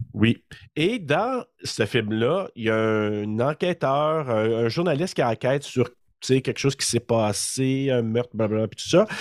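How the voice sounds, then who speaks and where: The speaker has a Quebec accent, a fairly slow pace and ordinary pitch variation. The recording is very clean with a silent background and a dry, close sound with no echo. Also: man, medium pitch for a man. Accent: Québécois French. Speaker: horror podcast co-host. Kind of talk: casual chat.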